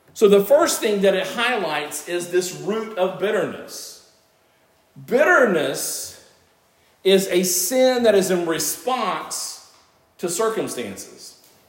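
Loud and with lively intonation, a man with a high pitch speaks at a very slow pace. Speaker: pastor. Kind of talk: sermon. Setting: church.

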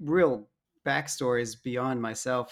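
A man with an American accent speaks at a medium pitch in an unremarkable speaking voice, his intonation fairly even. The recording is very clean, with a silent background. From US South (Dallas, Alabama). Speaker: defense industry worker, caller. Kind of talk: casual chat.

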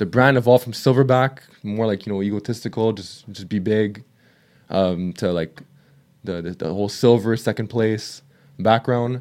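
With an ordinary speaking voice, a man talks at a fairly quick pace in a fairly low pitch, his intonation fairly even, on a very clean recording with a silent background. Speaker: fitness coach and YouTuber. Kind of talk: casual chat.

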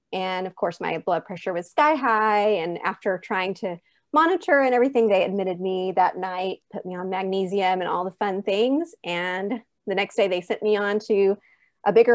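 The background is quiet as a woman talks at a moderate pace and a medium pitch. She has a normal speaking voice with ordinary pitch variation. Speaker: mother of a former NICU baby. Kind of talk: personal testimony interview.

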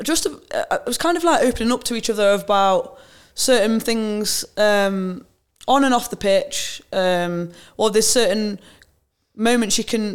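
With an East Midlands accent, a woman speaks at a moderate pace in a fairly high voice with ordinary pitch variation. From England, Nottingham. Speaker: women's footballer, team captain. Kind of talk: casual interview chat.

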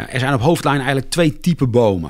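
The speaker is a man. His voice rises and falls across a very wide pitch range. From Ede, Gelderland, Netherlands. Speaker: tree care company coordinator. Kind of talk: interview. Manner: halting.

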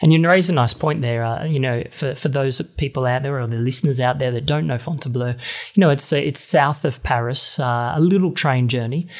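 Here is a man with an ordinary speaking voice and a fairly high pitch, showing ordinary pitch variation. He talks at a fairly quick pace with hardly any pauses. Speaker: podcast host. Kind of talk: interview conversation.

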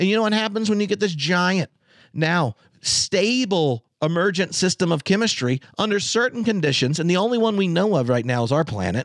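A fairly quick delivery in an American accent with very wide pitch swings, a dry, close sound with no echo, and a quiet background. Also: man. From North Carolina, US South. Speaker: theologian and podcaster. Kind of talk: casual chat. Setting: video call.

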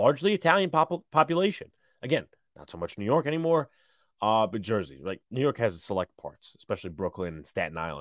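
A very fast voice with vocal fry, very wide pitch swings and big swings in loudness, dry and close with no echo on a very clean recording with a silent background. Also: man, medium pitch for a man. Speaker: sports podcast host. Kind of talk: casual live-stream commentary. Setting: live stream.

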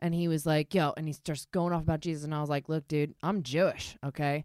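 Speaking at a fairly quick pace with an American accent, a woman has a very deep, low pitch, captured in a very clean, dry and close recording with a silent background and no echo. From Baltimore, US. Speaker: comedian. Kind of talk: casual chat.

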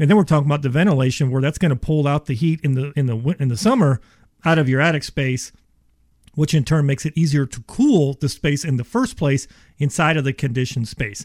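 A man with an American accent talks at a very fast pace in a fairly high, somewhat breathy voice, his pitch moving in an ordinary way, recorded with a dry, close sound and no echo. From Ohio. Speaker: insulation company expert. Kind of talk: radio interview, sales pitch. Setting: radio studio. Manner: fast talker, excitable.

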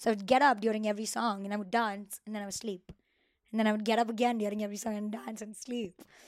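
Speaking at a very fast pace in an animated tone, a woman with an Indian accent shows big swings in loudness. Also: fairly high pitch for a woman. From Mumbai, India. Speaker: production designer. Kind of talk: casual interview chat. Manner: animated, laughs often.

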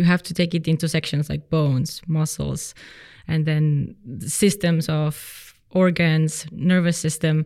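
In a non-native accent, a woman speaks fairly slowly with a very deep, low pitch, a dark, mellow tone and monotone, flat intonation. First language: not English. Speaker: physiotherapist and personal trainer. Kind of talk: interview. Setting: studio.

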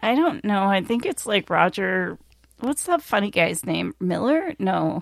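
Vocal fry runs through a woman's medium-pitched voice, which swings very widely in pitch. The sound is dry and close, with no echo. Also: fairly slow pace. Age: 50s. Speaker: podcast co-host. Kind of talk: casual chat.

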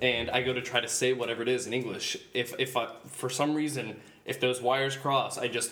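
A man with an American accent speaks at medium pitch and a moderate pace. His intonation is fairly even, and background noise is noticeable. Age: 30s. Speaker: guest on a casual podcast. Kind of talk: casual banter chat. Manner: joking, casual.

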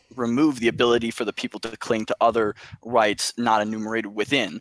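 With a dry, close sound and no echo, a man in an unremarkable speaking voice talks at a medium pitch and fairly quick pace. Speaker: caller. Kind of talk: casual chat. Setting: online call. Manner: loud.

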